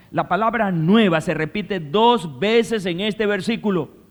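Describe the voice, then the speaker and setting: A man at a fairly slow pace, in a very clean recording over a silent background. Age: 60s. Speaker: pastor. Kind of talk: sermon.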